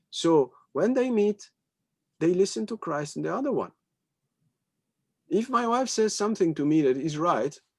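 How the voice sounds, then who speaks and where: A man with a French accent at a high pitch, moderate pace, very wide pitch swings and long, frequent pauses. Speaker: spiritual teacher. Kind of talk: spiritual talk in conversation. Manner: halting.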